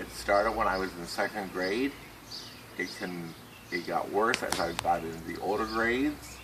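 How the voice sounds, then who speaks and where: A man with an American accent speaks at a fairly low pitch. Audible room echo and noticeable background noise fill the recording. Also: ordinary pitch variation, moderate pace. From US Midwest, western Ohio. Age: 60s. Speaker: person with Tourette syndrome, author. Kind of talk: personal testimony. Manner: halting.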